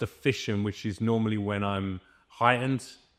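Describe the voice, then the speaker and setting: Here a man talks at a moderate pace. He speaks with a British accent. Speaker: voice actor. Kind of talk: casual interview chat.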